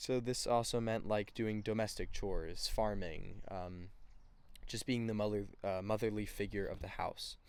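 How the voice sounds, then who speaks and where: A man speaks at a moderate pace with lively intonation on a very clean recording with a silent background. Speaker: student. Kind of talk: class presentation podcast, partly scripted. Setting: outdoors on a porch. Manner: halting, many fillers.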